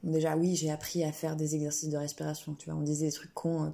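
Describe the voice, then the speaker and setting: Somewhat breathy and dark, mellow in tone, a woman speaks at a fairly quick pace. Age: 20s. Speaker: singer-songwriter and student. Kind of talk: casual interview chat.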